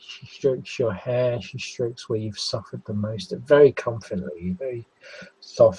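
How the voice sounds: It is a natural reading voice. The pitch varies in an ordinary way.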